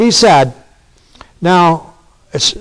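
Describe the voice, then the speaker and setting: Lively intonation runs through a man's speech. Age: 60s. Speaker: pastor. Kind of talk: sermon.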